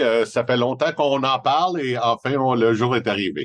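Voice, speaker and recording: Against a quiet background, a man with a Montreal accent speaks at a medium pitch and a fairly slow pace, with ordinary pitch variation. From Montreal, Quebec. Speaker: independent family advisor. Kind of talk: podcast interview.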